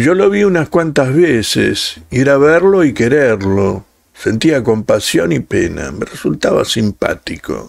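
In a Rioplatense accent, a man speaks very slowly in a solemn, stern tone at a medium pitch, with very wide pitch swings. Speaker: audiobook narrator and channel host. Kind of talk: scripted narration, dramatic reading aloud of a literary story. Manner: slow, solemn, expressive, lamenting, with pauses; shifts into a curt, stern boss voice for quoted dialogue.

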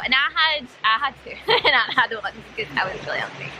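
The woman speaks at a fast pace in a high pitch with ordinary pitch variation. Her tone is bright and sharp, over faint background noise.

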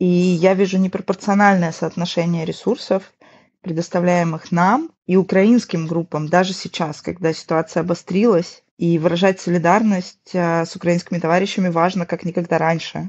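The intonation is monotone and flat. The delivery moves at a moderate pace. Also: woman, fairly low pitch for a woman. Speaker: artist and activist. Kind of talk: panel discussion, re-voiced.

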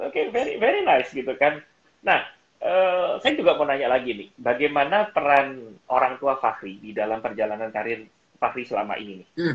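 Lively, fairly high-pitched male speech at a moderate pace, with big swings in loudness. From Indonesia. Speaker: public speaking coach and live-stream host; public speaking coach, live-stream host. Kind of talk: casual chat. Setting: video call. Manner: animated. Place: home room. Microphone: phone near.

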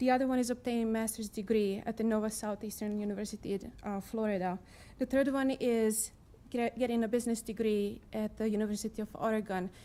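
A woman talks very fast in a non-native accent with a fairly high pitch. Her tone is dark and mellow, her intonation monotone and flat. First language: not English. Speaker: resident testifying at council meeting. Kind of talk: public testimony. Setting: city council chamber. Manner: reading from notes.

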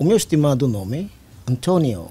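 A man's somewhat breathy voice, dark and mellow in tone, with lively intonation. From East Timor. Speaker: army general; guest. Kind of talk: interview. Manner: formal. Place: studio. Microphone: studio mic.

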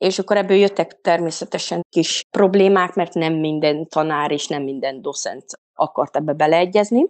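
A woman's fairly low, unremarkable speaking voice at a moderate pace with ordinary pitch variation, in a dry, close sound with no echo and a quiet background. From Transylvania, Székely Land (Székelyudvarhely). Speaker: mothers' coach. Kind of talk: casual interview.

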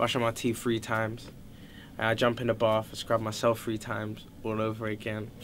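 A man with a London accent speaks at a moderate pace. His medium-pitched voice comes over light background noise. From London, Fulham. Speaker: singer-songwriter; interviewee. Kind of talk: interview answers. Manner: casual, relaxed. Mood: cheerful, laughing. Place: home room.

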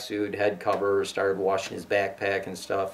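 Moderate pace and fairly low pitch from a man with a normal speaking voice. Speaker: hunting instructor. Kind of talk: interview answer. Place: home room.

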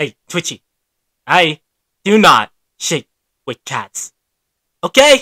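In a put-on character voice at middle pitch, the speaker goes fairly slowly with long, frequent pauses and very wide pitch swings.

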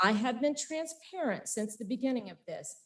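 A woman with an American accent uses lively intonation in an ordinary speaking voice. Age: 50s. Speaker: farm and winery owner. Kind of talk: public comment at council meeting. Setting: city council meeting. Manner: formal.

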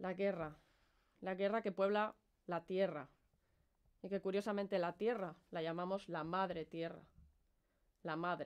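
With a Spanish accent, a woman speaks at a medium pitch and a fairly slow pace, her intonation fairly even and broken by long, frequent pauses. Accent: Peninsular Spanish. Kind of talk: performance monologue, protest speech.

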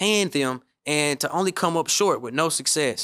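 A man's bright, sharp tone with ordinary pitch variation over a quiet background. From Memphis, Tennessee; Tennessee. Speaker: podcast host, real estate coach. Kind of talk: solo podcast monologue; podcast monologue. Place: studio. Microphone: studio mic.

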